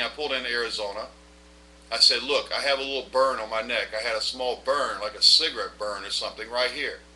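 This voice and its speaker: With noticeable background noise behind him, a man of medium pitch speaks at a fairly quick pace with fairly even intonation. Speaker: vlogger and former bank examiner. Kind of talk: personal testimony monologue. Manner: fast when nervous; occasional stammering.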